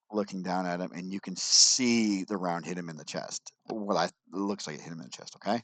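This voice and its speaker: The sound is dry and close, with no echo. A man with a very deep, low pitch speaks at a moderate pace with ordinary pitch variation. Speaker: commentary vlogger. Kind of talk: casual commentary walking through video evidence. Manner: halting, with false starts.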